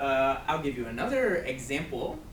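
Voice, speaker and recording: Noticeable background noise runs behind a man speaking with an American accent. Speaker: ESL teacher. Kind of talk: grammar lesson to camera. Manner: slow, clear.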